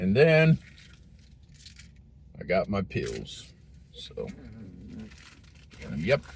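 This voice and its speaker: A man talks at a very slow pace. He leaves long pauses, and often. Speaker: train hobby vlogger. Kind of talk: casual vlog while driving. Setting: in a car. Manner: hesitant, many fillers.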